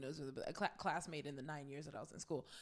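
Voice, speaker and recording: A woman speaks in an animated tone. Her voice has a bright, sharp tone. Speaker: podcast co-host. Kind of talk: casual chat.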